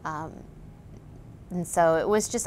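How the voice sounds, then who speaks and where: The speaker has a Midwestern US accent and fairly even intonation. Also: woman. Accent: US Midwest. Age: 30s. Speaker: patient. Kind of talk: testimony. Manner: halting.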